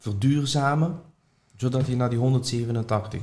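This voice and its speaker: A man speaks at a very slow pace. His voice is somewhat breathy, with a dark, mellow tone. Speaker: property investor and trainer. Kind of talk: interview.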